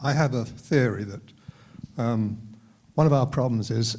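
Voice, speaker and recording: A man's somewhat breathy, medium-pitched voice at a fairly slow pace. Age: 80s+. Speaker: audience member. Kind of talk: audience question. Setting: public talk with audience. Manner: halting.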